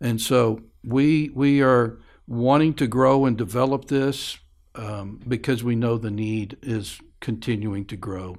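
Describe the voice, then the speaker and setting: A man talks at a very slow pace. The recording is very clean, with a silent background. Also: medium pitch for a man, ordinary pitch variation. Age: 60s. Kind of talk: interview conversation. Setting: studio.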